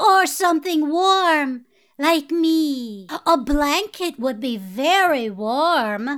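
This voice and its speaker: A female-sounding voice performs a put-on character voice at a high pitch and very slow pace. The recording is very clean, with a silent background. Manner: giddy, dim, bubbly.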